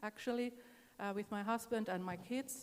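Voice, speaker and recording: A woman speaks with a Finnish accent. Her fairly high pitch shows ordinary variation. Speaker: singer. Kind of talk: onstage interview. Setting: stage with audience.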